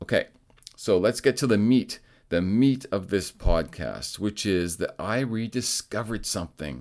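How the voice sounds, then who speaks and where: A man talks at a fairly slow pace. He has an unremarkable speaking voice. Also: very clean recording, silent background. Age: 50s. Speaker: podcast host, amateur triathlete. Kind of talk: solo podcast monologue. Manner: casual, conversational.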